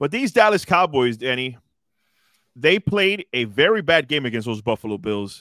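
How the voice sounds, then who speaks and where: Heard in a dry, close sound with no echo, a man speaks in a fairly high pitch with very wide pitch swings. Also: moderate pace, very clean recording, silent background. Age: 40s. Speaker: podcast host. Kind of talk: casual chat.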